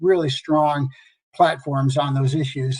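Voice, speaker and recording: The delivery is somewhat breathy and moves at a fairly quick pace. Intonation stays monotone and flat. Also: man. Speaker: congressional staffer. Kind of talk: conference presentation.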